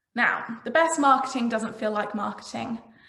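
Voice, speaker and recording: A woman's fairly high-pitched voice, with noticeable background noise and audible room echo. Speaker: marketing consultant. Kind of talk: presentation. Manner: fast.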